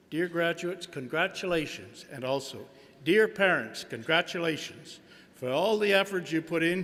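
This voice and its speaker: A man's high-pitched voice with a bright, sharp tone and ordinary pitch variation. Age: 70s. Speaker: businessman and honorary degree recipient. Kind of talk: convocation speech. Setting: stage with audience.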